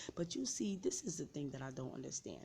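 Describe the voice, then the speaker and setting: In a New York accent, a woman speaks at a very deep, low pitch. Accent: New York City. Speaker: vlogger sharing personal story. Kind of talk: personal testimony.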